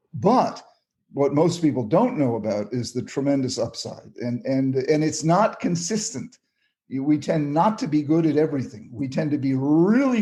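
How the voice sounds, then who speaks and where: A man's dark, mellow, somewhat breathy voice, fairly high in pitch, with lively intonation at a moderate pace. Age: 70s. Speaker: psychiatrist. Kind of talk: interview. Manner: animated; halting.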